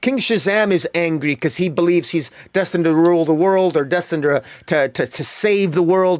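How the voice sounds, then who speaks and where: A man with a high voice and an animated tone speaks fairly quickly, with ordinary pitch variation and very even loudness. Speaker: comic book reviewer. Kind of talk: solo podcast review. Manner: fast; animated, many repetitions.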